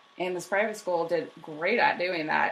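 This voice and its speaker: A woman talks at a moderate pace. There is noticeable background noise. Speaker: history podcast co-host. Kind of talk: casual chat. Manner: mumbling.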